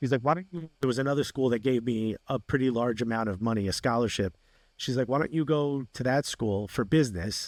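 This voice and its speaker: Recorded very cleanly against a silent background, a man speaks at a fairly quick pace and medium pitch in a dry, close sound with no echo. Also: ordinary pitch variation. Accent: New Jersey. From New Jersey (Newark), US. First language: Spanish. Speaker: comedian and sports TV host. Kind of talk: interview. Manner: animated.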